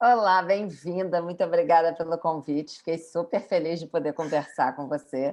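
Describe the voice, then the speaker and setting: Speaking at a moderate pace with hardly any pauses, a woman uses ordinary pitch variation against a quiet background. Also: fairly low pitch for a woman. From Brazil, Rio de Janeiro. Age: 50s. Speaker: yoga and pilates instructor. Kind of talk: podcast interview.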